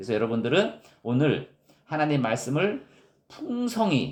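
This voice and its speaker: Showing vocal fry and a strong Gyeongsang accent, a man speaks at a very slow pace. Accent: Gyeongsang dialect, strong intonation. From Gyeongsang region, South Korea. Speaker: pastor. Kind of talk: sermon.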